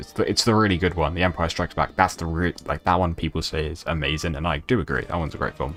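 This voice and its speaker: A man's very deep, low voice at a very fast pace, over noticeable background noise. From Britain, non-British family. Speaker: gaming streamer. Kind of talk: casual live stream chat. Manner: halting.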